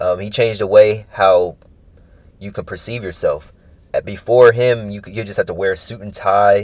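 A man with an American accent speaks at a moderate pace in a monotone, flat intonation, his loudness swinging widely. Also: very clean recording, silent background. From San Francisco Bay Area, California. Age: 20s. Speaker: podcast host, college student. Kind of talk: casual solo monologue.

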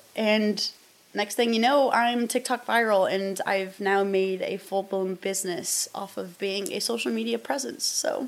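With a Midwestern American accent, the speaker uses ordinary pitch variation. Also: woman. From US Midwest, southern Iowa. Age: 20s. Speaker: podcast host and outdoors influencer. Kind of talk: casual solo podcast talk. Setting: in front of a camera.

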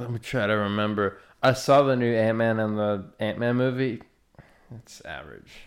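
With a Southern US accent, a man talks at a moderate pace and medium pitch, his intonation fairly even while his loudness swings widely. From US South. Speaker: podcast host. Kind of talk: casual chat.

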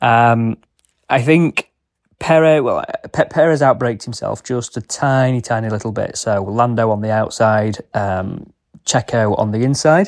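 A man with an ordinary speaking voice at a medium pitch, fairly slow pace and ordinary pitch variation, against a quiet background. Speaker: motorsport segment presenter. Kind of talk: solo sports review.

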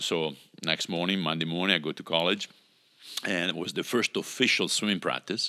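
Very deep and low, this man's voice has a bright, sharp tone. He speaks at a moderate pace. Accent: Italian. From Italy. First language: Italian. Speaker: pastor. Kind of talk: interview.

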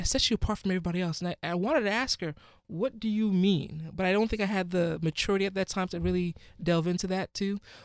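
Very fast and high-pitched, a man with a Ghanaian accent speaks on a very clean recording with a silent background and a dry, close sound with no echo. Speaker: physician. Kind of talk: interview.

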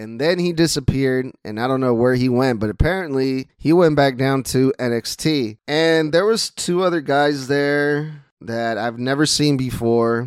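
With a Spanish accent, a man speaks at a moderate pace and medium pitch, with ordinary pitch variation and hardly any pauses. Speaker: wrestling podcaster. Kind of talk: solo podcast recap. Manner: casual, conversational.

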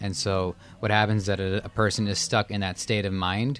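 Speaking at a moderate pace and fairly low pitch, a man has an ordinary speaking voice with fairly even intonation. The recording is very clean, with a silent background. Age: 20s. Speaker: podcast producer. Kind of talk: casual chat.

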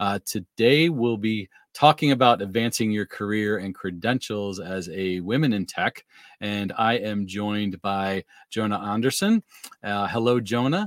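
A man with a plain, everyday voice talks fairly slowly at a fairly low pitch with ordinary pitch variation. The sound is dry and close, with no echo. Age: 50s. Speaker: podcast host and tech trainer. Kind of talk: casual interview.

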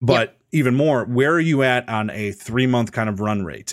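A man with an animated, upbeat tone at a moderate pace, in a very clean recording with a silent background. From US Midwest. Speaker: podcast host and streamer. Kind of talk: casual podcast chat.

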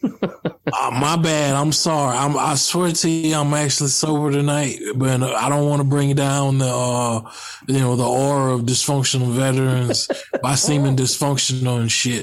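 Over noticeable background noise, a man with a Southern US accent speaks at a fairly slow pace with hardly any pauses, fairly even intonation and very even loudness. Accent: Southern drawl. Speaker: podcast panelist, military veteran. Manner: slow talker.

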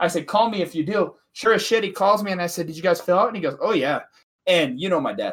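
A man with an American accent talks at a very fast pace, high in pitch and animated in tone. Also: ordinary pitch variation. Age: 20s. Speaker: podcast co-host. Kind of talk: casual chat.

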